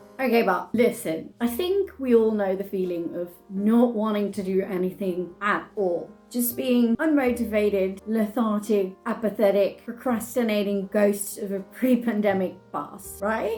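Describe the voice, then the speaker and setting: A woman with a British accent speaks at a medium pitch, with ordinary pitch variation. She barely pauses while music plays in the background. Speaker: video creator.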